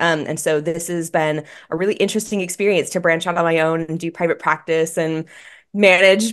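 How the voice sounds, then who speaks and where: A woman talks at a fairly quick pace with a fairly low pitch and fairly even intonation. She has a plain, everyday voice, and the background is quiet. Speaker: guest. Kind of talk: interview answer. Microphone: video call.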